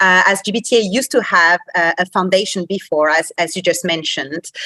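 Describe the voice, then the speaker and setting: Speaking at a moderate pace in a French accent, a woman with a medium pitch, ordinary pitch variation and a bright, sharp tone is recorded with a dry, close sound and no echo. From France, Paris. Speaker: association executive. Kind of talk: podcast interview.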